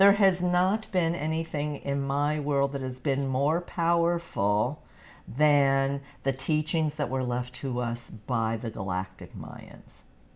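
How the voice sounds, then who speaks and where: A woman's very deep, low voice with lively intonation at a very slow pace. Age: 60s. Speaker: spiritual teacher and author. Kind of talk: live webinar presentation. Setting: livestream. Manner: casual, halting with restarts.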